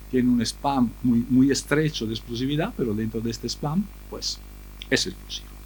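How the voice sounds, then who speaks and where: The man talks with an Italian accent at a moderate pace. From Italy. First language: Italian (speaking Spanish). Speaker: refrigeration engineer. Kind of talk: conference talk. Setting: seminar with audience. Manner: hesitant, many fillers.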